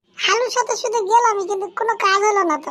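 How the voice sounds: In a cartoonish character voice, a woman speaks at an extremely high pitch and a fairly quick pace, keeping her intonation fairly even.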